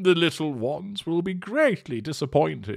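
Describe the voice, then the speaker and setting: Soft-spoken and fairly high in pitch, a man performs a put-on character voice at a moderate pace in a very clean recording with a silent background. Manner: murmuring, regretful.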